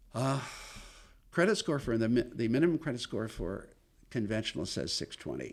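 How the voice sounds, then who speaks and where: Using vocal fry, a man speaks at medium pitch with very wide pitch swings and long, frequent pauses. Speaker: mortgage loan officer. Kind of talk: podcast interview. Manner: fast.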